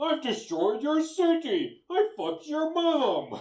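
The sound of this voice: A man uses a put-on character voice pitched extremely high. He talks at a fairly slow pace.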